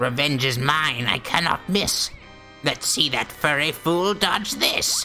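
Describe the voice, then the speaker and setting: Clear music plays in the background as someone uses a put-on character voice at a fairly slow pace. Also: man, fairly high pitch for a man. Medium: game stream. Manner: rhyming, cackling, vengeful.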